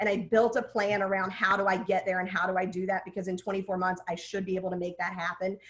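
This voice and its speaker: A woman talks at a very fast pace with hardly any pauses, her medium-pitched voice animated over noticeable background noise. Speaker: print business executive, webinar guest speaker. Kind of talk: webinar panel talk. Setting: online webinar.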